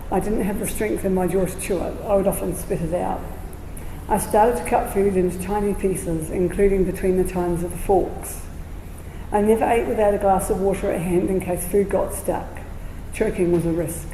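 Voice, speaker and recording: A woman at a medium pitch talks at a fairly quick pace with a New Zealand accent and fairly even intonation. Noticeable background noise and audible room echo fill the recording. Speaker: patient speaker with lived experience, registered nurse. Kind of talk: prepared talk read aloud. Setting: community centre presentation with audience. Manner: slightly slurred speech.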